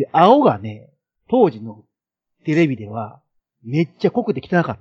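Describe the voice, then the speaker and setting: Very wide pitch swings and long, frequent pauses from a somewhat breathy man with a fairly high pitch. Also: moderate pace, big swings in loudness. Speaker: film enthusiast guest. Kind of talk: casual chat.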